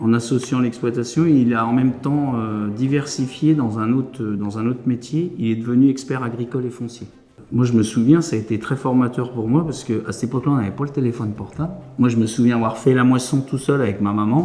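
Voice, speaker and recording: A man at a fairly quick pace, medium in pitch with fairly even intonation, against noticeable background noise. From France, Beauce. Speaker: farmer. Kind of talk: testimony. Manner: halting.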